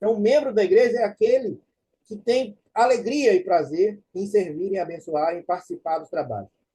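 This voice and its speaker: A man's dark, mellow tone at a moderate pace. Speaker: church teacher. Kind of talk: lecture.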